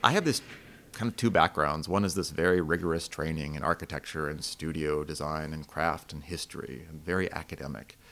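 On a very clean recording with a silent background, a man with an American accent talks at a fairly quick pace in a very deep, low pitch, with fairly even intonation and big swings in loudness. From Asheville area, North Carolina. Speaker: woodworking instructor. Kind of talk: casual interview.

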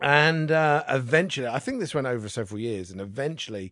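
A man's plain, everyday voice with lively intonation at a fairly quick pace. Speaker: guest storyteller. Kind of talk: casual chat.

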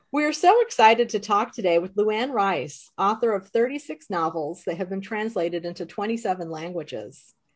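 A woman with an American accent talks at a moderate pace, using a plain, everyday voice. Her pitch is medium and her intonation lively. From Chicago, US Midwest. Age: middle-aged. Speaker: podcast host. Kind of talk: casual chat, author interview.

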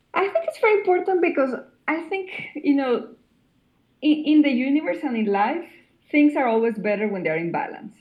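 Speaking with a Spanish accent, a woman uses a high pitch with very wide swings and long, frequent pauses. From Colombia. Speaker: cinematographer. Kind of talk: interview. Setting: remote call.

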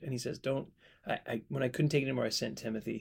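This man's voice sits at a medium pitch, with ordinary pitch variation and some vocal fry. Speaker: podcast host and Bible teacher. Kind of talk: casual Bible Q&A chat. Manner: joking, laughs often.

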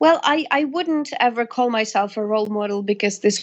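A woman talks at a fairly high pitch with lively intonation. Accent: Russian. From Russia. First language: Russian. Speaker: singer. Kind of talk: interview.

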